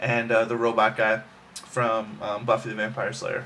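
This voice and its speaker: Here is a man with a medium-pitched voice. Noticeable background noise runs underneath. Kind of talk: casual talk to camera. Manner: fast.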